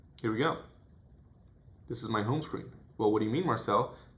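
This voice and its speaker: With a bright, sharp tone and lively intonation, a man speaks amid audible room echo. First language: Portuguese. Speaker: self-improvement youtuber. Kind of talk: vlog monologue.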